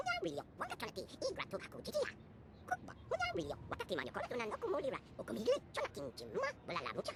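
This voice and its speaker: A put-on character voice at a very fast pace over loud background noise. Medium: video game. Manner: rapid, rhythmic alien speech.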